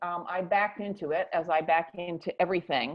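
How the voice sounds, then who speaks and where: A woman with a plain, everyday voice and an American accent talks at a moderate pace with lively intonation. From US. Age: 60s. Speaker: author and activist on ageism. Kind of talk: interview.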